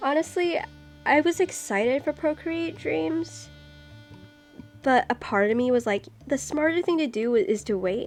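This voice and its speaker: Music plays behind a soft-spoken woman with a high pitch and very wide pitch swings. She keeps a moderate pace, pausing long and often. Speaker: streamer and artist. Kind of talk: casual live-stream chat while drawing. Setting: live stream. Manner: soft-spoken, quiet; hesitant, many fillers.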